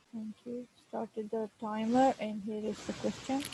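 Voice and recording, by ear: Dark and mellow with a husky, rough edge, a woman's fairly high voice moves little in pitch at a fairly slow pace, recorded dry and close with no echo.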